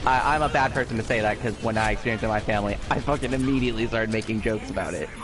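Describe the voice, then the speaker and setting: With hardly any pauses, a man in an American accent speaks at a very fast pace, medium pitch and fairly even intonation, with noticeable background noise. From USA. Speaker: gaming and anime streamer. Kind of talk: casual chat. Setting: live stream.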